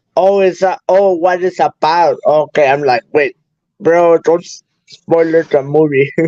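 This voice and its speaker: This man has a high pitch and a dark, mellow tone, with a Spanish accent. He talks at a fairly slow pace with ordinary pitch variation. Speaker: guest on live stream. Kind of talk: casual chat. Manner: halting.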